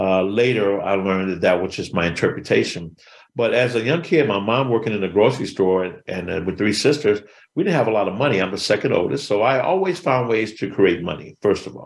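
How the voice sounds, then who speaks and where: In a very clean recording with a silent background, a man talks at a fairly low pitch with lively intonation in an ordinary speaking voice. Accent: American. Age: 60s. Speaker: motivational speaker. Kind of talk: interview.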